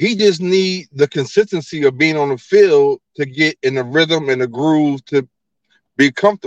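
A man with an unremarkable speaking voice talks in an American accent at a fairly slow pace. The sound is dry and close, with no echo. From New Jersey. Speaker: caller. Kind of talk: casual chat.

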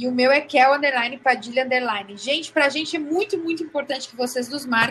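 Speaking at a moderate pace, a woman with a high pitch shows ordinary pitch variation. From Rio Grande do Sul, Brazil. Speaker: podcast co-host. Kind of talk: casual chat.

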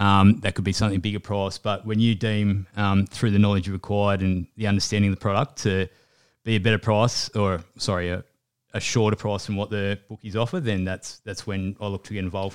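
A man with an Australian accent, fairly quick and monotone with flat intonation, in a dry, close sound with no echo on a very clean recording with a silent background. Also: fairly low pitch for a man. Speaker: sports betting trader. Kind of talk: casual chat.

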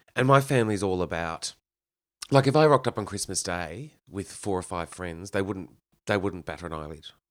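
Lively intonation and big swings in loudness mark this voice, spoken at a moderate pace with an Australian accent. The recording is very clean, with a silent background. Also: man, very deep, low pitch for a man. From Victoria, Australia (Kyneton). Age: 30s. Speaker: cabaret performer. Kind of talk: casual chat. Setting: his home.

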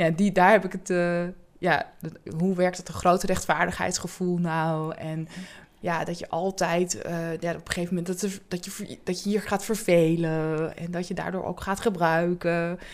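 Her fairly low voice holds a flat, monotone intonation at a moderate pace, yet this woman's loudness swings widely. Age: 40s. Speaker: job coach in mental health care. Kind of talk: interview.

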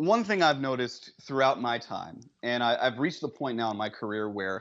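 This man has a normal speaking voice, medium in pitch, and he talks at a fairly quick pace. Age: 30s. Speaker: TV reporter and author. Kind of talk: interview.

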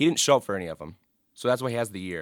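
A man with an American accent speaks at a medium pitch with lively intonation. The sound is dry and close, with no echo. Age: 20s. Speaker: student sports editor. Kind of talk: casual chat. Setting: studio.

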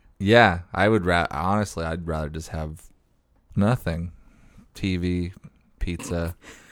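On a very clean recording with a silent background, a man with an American accent speaks at a fairly slow pace in a very deep, low pitch, with fairly even intonation and long, frequent pauses. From US Pacific Northwest. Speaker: podcast co-host and stand-up comedian. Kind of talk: casual comedic chat.

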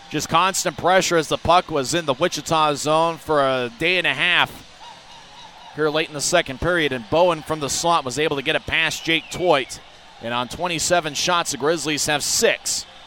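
There is noticeable background noise behind this man. He talks at a moderate pace in a fairly high pitch. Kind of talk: hockey play-by-play. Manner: energetic and animated, shifting to a relaxed, conversational recap between goals.

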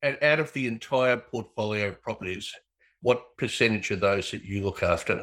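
The recording is very clean, with a silent background. A man talks at a moderate pace in an ordinary speaking voice, medium in pitch with ordinary pitch variation.

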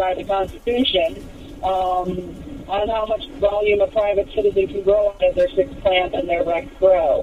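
Speech at a moderate pace over noticeable background noise. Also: woman. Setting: phone call.

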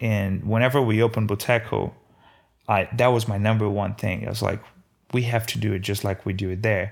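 A man with a slight Brazilian accent, medium pitch and fairly even intonation, on a very clean recording with a silent background. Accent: light Brazilian Portuguese accent in English. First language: Portuguese. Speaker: food truck owner. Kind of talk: interview storytelling. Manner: halting, with frequent repetitions.

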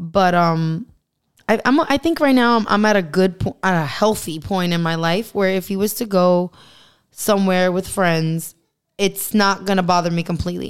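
A woman's medium-pitched voice at a moderate pace. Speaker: chef and ASMR creator. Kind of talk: casual chat.

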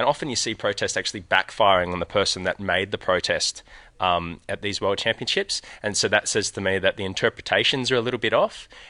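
Over a quiet background, a man with an Australian accent talks at a very fast pace in a dry, close sound with no echo. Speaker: sailing coach. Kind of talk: interview. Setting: outdoors at a sailing event, live stream.

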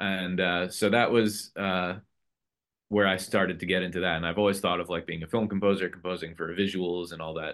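Delivery is fairly quick, with a monotone, flat intonation. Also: man, very deep, low pitch for a man. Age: 30s. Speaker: guitarist and video game composer. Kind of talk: interview. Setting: home studio. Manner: casual, with many fillers.

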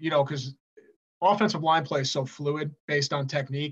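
This man, with an American accent, has a fairly high pitch and a bright, sharp tone. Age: 40s. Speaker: high school football head coach. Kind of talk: casual interview chat.

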